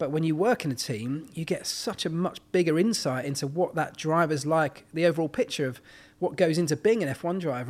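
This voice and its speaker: Speaking with a British accent, a man keeps a fairly quick pace and a fairly high pitch with ordinary variation. The recording is very clean, with a silent background. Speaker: former Formula One mechanic and motorsport pundit. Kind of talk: casual podcast interview. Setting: in person on a sofa at hosts' home.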